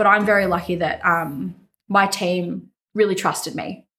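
In an Australian accent, a woman speaks at a medium pitch and a fairly slow pace on a very clean recording with a silent background. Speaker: venue manager. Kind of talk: interview.

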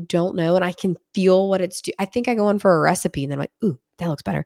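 In a western Pennsylvania accent, a woman talks at a fairly quick pace with an animated tone. Her pitch swings are very wide. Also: dry, close sound with no echo, very clean recording, silent background. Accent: western Pennsylvania American. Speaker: podcast host. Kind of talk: casual interview chat. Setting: in-person studio.

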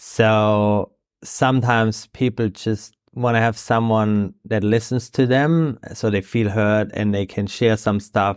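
A man with a German accent speaks very slowly in a fairly low voice, with fairly even intonation and hardly any pauses, on a very clean recording with a silent background. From Germany (Bavaria). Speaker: surf coach and sports development manager. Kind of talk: interview. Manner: halting.

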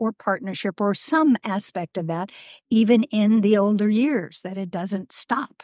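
A woman with a plain, everyday voice speaks at a fairly slow pace and medium pitch with ordinary pitch variation, in a very clean recording with a silent background and a dry, close sound with no echo. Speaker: podcast host. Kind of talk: casual interview. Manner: warm and laughing.

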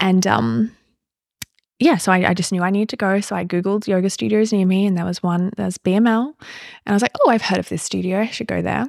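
A woman's plain, everyday voice at a fairly quick pace, with ordinary pitch variation. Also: medium pitch for a woman. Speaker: psychotherapist and yoga teacher. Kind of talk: podcast interview with her fiancé.

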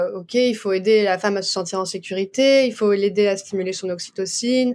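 A woman uses an ordinary speaking voice at a moderate pace with fairly even intonation, in a very clean recording with a silent background. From France. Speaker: doula and osteopath. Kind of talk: interview.

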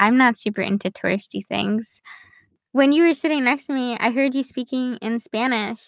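Dry and close with no echo, this is a woman with a plain, everyday voice. She speaks at a fairly high pitch with ordinary pitch variation. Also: very clean recording, silent background. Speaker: podcast host. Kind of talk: scripted narration; casual chat.

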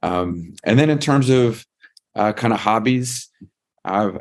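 The recording is spotless, with total silence behind the voice. A man speaks in an American accent. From US, Northern Virginia. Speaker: law school dean. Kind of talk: interview.

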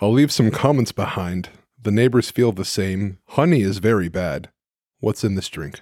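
A plain, everyday voice belongs to a man with a fairly low pitch. He keeps a moderate pace and uses lively intonation. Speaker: podcast host. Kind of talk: casual chat. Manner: joking, playful.

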